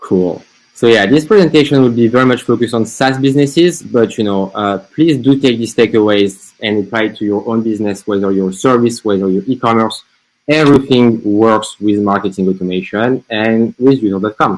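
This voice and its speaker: A man's medium-pitched voice with a French accent, fairly quick, with ordinary pitch variation. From France. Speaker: marketing agency founder. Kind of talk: webinar presentation.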